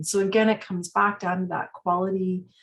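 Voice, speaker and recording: Her voice somewhat breathy and fairly low in pitch, a woman talks at a fairly quick pace. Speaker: palliative care association executive. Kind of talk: webinar presentation. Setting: online webinar. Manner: halting, many fillers.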